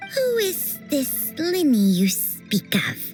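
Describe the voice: Clear music plays behind a female-sounding cartoonish character voice. The pace is very slow.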